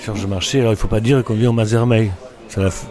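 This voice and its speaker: A man's fairly low voice with fairly even intonation over noticeable background noise. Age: 60s. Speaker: restaurant owner. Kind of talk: casual interview. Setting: in a bar. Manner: halting.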